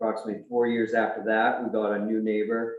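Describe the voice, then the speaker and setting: At a moderate pace, a man talks in a fairly low pitch. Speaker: appellant resident at town hearing. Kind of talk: reading a prepared statement. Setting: town board hearing. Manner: soft-spoken.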